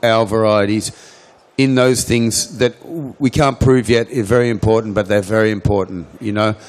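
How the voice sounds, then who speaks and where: With an Australian accent, a man speaks using ordinary pitch variation. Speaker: cannabis seed company owner. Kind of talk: conference Q&A answer. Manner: halting with repetitions.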